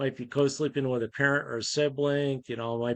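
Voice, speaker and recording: In a New York accent, a man speaks. His intonation stays monotone and flat. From upstate New York. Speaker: charity volunteer leader. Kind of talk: casual chat.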